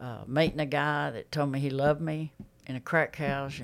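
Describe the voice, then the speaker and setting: A woman with an Alabama accent speaks in a very deep, low voice and a flat monotone, recorded very cleanly against total silence. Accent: Southern US (Alabama). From Alabama, US South. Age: 60s. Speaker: X-ray tech, recovered addict. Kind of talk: testimony.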